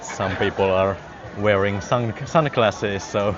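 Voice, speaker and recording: A man speaks at a fairly slow pace in a fairly low voice. His intonation stays fairly even, with music playing in the background. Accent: Finnish. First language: Finnish. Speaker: live-streaming vlogger. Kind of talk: live walking vlog. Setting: outdoors. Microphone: wireless clip mic on phone.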